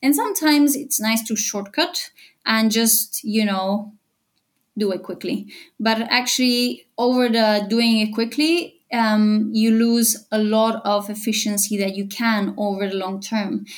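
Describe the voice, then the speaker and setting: In a very clean recording with a silent background, a woman speaks at a fairly slow pace in a somewhat breathy voice. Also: fairly high pitch for a woman, ordinary pitch variation. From Bulgaria. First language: Bulgarian. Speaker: e-commerce AI consultant. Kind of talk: interview.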